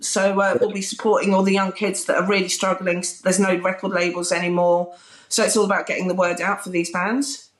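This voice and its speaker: A woman talks at medium pitch and a fairly quick pace. Her loudness stays very even over noticeable background noise. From southern England. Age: 40s. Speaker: music TV presenter. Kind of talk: casual interview chat. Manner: animated.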